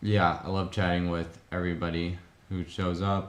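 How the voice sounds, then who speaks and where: This man's voice is very deep and low. There is audible room echo around it. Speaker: Lego builder streamer. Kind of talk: casual live stream chat. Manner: hesitant, many filler words.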